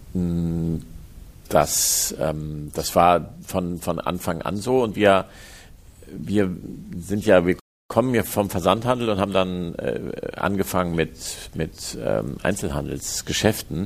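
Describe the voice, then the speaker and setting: A man speaks at a very slow pace. His pitch is very deep and low, with ordinary variation. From Hamburg, northern Germany. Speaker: company executive. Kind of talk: interview. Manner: halting.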